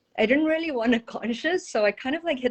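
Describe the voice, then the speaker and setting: A woman speaks with a South African accent. Her intonation is lively. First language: Portuguese. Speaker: energy healer and intuitive. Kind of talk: interview.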